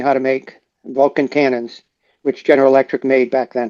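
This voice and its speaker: At a moderate pace, a man speaks in a medium-pitched, dark and mellow voice with monotone, flat intonation, and the sound is dry and close with no echo. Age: 70s. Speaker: retired police officer and veteran. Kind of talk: interview. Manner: halting.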